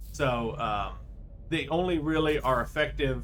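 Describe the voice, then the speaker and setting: In a room with audible echo, a man speaks quietly at a fairly slow pace. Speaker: video game streamer. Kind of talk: gameplay commentary. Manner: halting.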